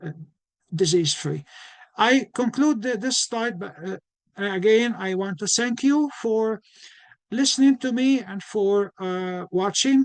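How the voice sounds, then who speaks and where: Speaking at a fairly slow pace with long, frequent pauses, a man with a slight non-native accent has a high voice, ordinary pitch variation, and a dry, close sound with no echo. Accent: slight foreign. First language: not English. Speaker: physician and nutrition educator. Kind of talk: lecture. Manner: halting, many restarts.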